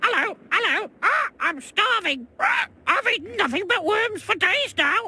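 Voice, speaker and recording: In a put-on character voice with an extremely high pitch, the speaker moves at a moderate pace with hardly any pauses. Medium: video game.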